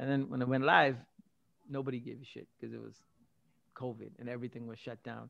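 A man's voice at a medium pitch. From Canada, Scarborough (Toronto), arrived at 14 from Singapore. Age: 40s. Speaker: entrepreneur. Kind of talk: interview. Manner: animated.

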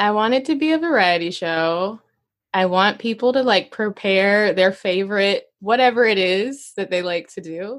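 Speaking at a moderate pace in an American accent, a woman with a normal speaking voice, medium pitch and lively intonation comes through on a very clean recording with a silent background. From Arkansas, US South. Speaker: comedian and teaching artist. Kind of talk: casual interview chat.

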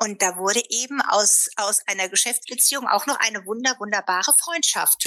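A woman with a fairly high pitch speaks at a moderate pace, with ordinary pitch variation and very even loudness. Noticeable background noise sits behind her. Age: 50s. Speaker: fashion sales entrepreneur. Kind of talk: casual interview. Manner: talkative, many fillers.

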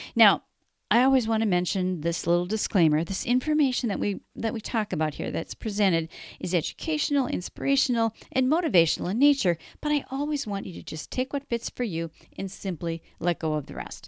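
This voice swings very widely in pitch and moves at a fairly quick pace, with an American accent. The recording is very clean with a silent background, and the sound is dry and close with no echo. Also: woman, medium pitch for a woman. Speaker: podcast host. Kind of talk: interview, casual chat.

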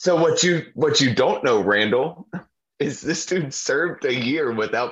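With an American accent, a man speaks at a moderate pace in an unremarkable speaking voice. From Ohio. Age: 30s. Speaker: podcast co-host. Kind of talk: casual chat.

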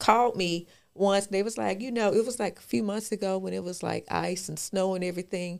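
At a moderate pace and medium pitch, a woman talks in an unremarkable speaking voice, recorded very cleanly with a silent background. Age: 40s. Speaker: podcast co-host. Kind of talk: casual chat.

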